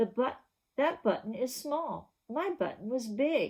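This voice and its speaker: A woman uses a put-on character voice pitched high. She talks at a fairly slow pace. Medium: read story.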